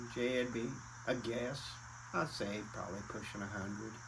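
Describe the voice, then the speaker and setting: A somewhat breathy man with an American accent, at a fairly slow pace, with audible room echo. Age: 70s. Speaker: retired racing family elder. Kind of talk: casual reminiscing interview.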